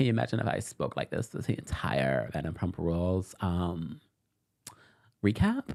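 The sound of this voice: In a put-on character voice, a man speaks at a moderate pace with a very deep, low pitch, a creaky quality and lively intonation.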